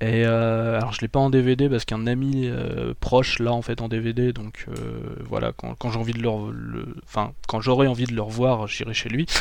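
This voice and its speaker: With hardly any pauses, a man talks over noticeable background noise. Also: moderate pace. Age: 20s. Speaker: YouTuber. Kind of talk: casual chat. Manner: halting.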